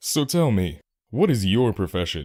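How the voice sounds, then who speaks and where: A man's put-on character voice, fairly low in pitch with very wide pitch swings, at a moderate pace on a very clean recording with a silent background. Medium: read story.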